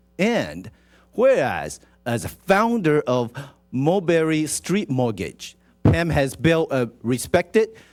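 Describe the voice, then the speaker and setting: With music in the background, a man with a Taiwanese accent speaks slowly-ish at a fairly slow pace in a fairly high pitch, using very wide pitch swings. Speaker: city council member. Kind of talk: reading a proclamation at a council meeting.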